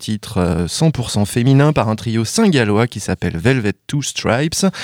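With lively intonation, a man at a medium pitch has an unremarkable speaking voice. The recording is very clean, with a silent background. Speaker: radio co-host. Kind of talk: radio show banter. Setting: studio.

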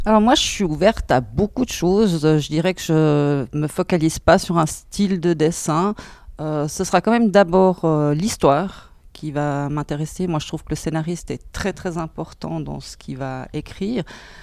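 A woman with a Swiss German accent talks at a fairly low pitch with ordinary pitch variation and big swings in loudness. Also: moderate pace, very clean recording, silent background. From German-speaking Switzerland. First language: Swiss German (speaking French). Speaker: bookseller. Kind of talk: interview. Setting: bookshop before opening.

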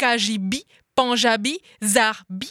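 A woman speaks very slowly in a fairly high, bright and sharp voice, the sound dry and close with no echo on a very clean recording over a silent background. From France and Colombia. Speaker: slam poet. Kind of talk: slam performance. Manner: rhythmic.

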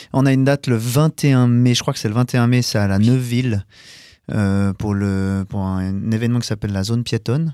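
A man's dark, mellow voice with ordinary pitch variation at a moderate pace, dry and close with no echo, on a very clean recording with a silent background. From Geneva, Switzerland. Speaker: rock singer and keyboardist. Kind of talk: casual radio interview.

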